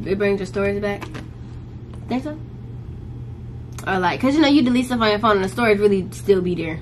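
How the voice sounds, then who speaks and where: A woman at a fairly quick pace over light background noise. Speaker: college student vlogger. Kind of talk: casual vlog chat. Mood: relaxed, joking. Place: home room. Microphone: camera far.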